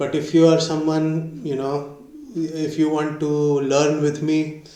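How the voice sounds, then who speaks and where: Over noticeable background noise and audible room echo, a man with an Indian accent speaks at a fairly slow pace. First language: Hindi. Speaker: YouTuber learning a language. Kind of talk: casual vlog. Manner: halting, many fillers.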